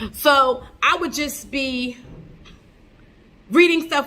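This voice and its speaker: High-pitched speech from a woman, with ordinary pitch variation. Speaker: podcast host. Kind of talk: casual podcast monologue. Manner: fast.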